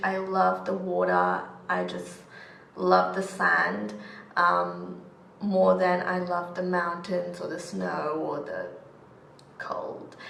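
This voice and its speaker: Speech comes at a very slow pace over noticeable background noise, with audible room echo. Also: woman. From Australia, Melbourne (born in Chennai, India). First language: Tamil / Urdu. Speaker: beauty vlogger. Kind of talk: casual chat.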